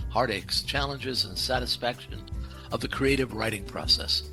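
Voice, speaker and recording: Moderately paced male speech, music playing behind it. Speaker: podcast host. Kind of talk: podcast intro read.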